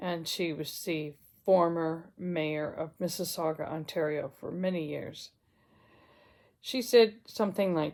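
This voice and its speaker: Fairly low in pitch, a woman speaks with a plain, everyday voice. Her pace is fairly slow, and her pitch variation is ordinary. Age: 60s. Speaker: retired counsellor vlogger. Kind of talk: casual vlog monologue.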